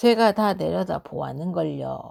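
A woman with a warm, gentle tone speaks at a very slow pace in a very clean recording with a silent background. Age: old. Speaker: storyteller. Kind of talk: bedtime folk tale reading.

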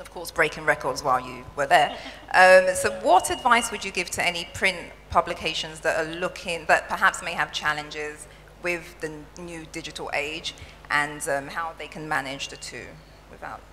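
In an unremarkable speaking voice, a woman with a fairly low pitch talks at a moderate pace with ordinary pitch variation and big swings in loudness, over light background noise. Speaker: interviewer and moderator. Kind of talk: onstage interview. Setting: stage with audience. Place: stage. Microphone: handheld.

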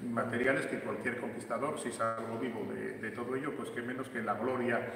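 A man at a moderate pace, with audible room echo and music playing in the background. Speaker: exhibition guide. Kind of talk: explanatory tour commentary. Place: hall. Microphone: camera far.

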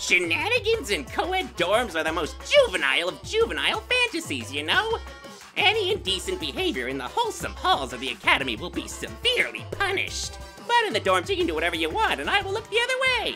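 Clear music plays in the background as a cartoonish character voice races along at a very fast pace. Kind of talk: anime fandub voice acting. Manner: gleeful, menacing, mocking.

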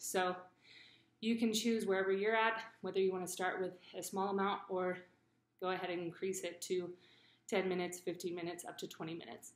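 A woman at a fairly quick pace, fairly even intonation and audible room echo. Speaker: fitness coach. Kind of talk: tutorial. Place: garage. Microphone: webcam.

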